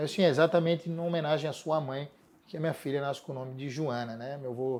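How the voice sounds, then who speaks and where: A man speaks with a strong Florianópolis accent at a fairly quick pace. His fairly high pitch shows ordinary variation. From Florianópolis, Brazil. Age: 40s. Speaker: city environment secretary. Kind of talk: interview.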